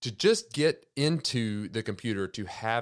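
An unremarkable speaking voice with lively intonation, recorded very cleanly over a silent background. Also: man. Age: 30s. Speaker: podcast host. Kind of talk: solo monologue podcast.

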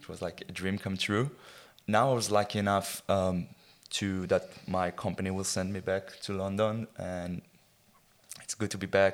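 Moderate-paced male speech with an Israeli accent and fairly low pitch, very clean recording with a silent background. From Israel, rural kibbutz. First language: Hebrew. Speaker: football fan. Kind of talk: casual chat.

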